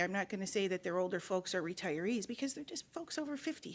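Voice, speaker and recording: This is a normal speaking voice with an American accent and lively intonation. The recording is very clean, with a silent background. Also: woman. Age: 50s. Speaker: county commissioner chairing meeting. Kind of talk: public board meeting report.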